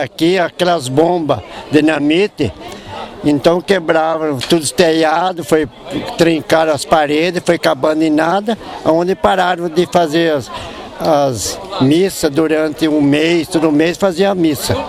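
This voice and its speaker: Amid noticeable background noise, a man with a high pitch speaks at a fairly slow pace, his pitch varying in an ordinary way. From Botucatu area, São Paulo state, Brazil. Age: 70s. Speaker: elderly local resident. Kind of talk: interview.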